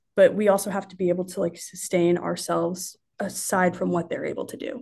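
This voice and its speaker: A woman with a Midwestern American accent talks at a fairly quick pace in a medium pitch, with ordinary pitch variation and vocal fry. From Indiana, Marion. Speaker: sports marketing coordinator. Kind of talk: casual interview.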